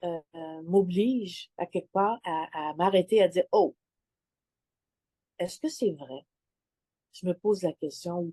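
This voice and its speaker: A woman with a dark, mellow tone and medium pitch talks at a very slow pace with ordinary pitch variation, big swings in loudness and long, frequent pauses, in a dry, close sound with no echo. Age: 60s. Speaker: client sharing testimonial. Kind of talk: testimony interview. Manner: halting, many hesitations.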